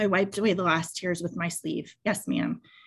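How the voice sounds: Delivered in a natural reading voice, the speech has fairly even intonation over a quiet background.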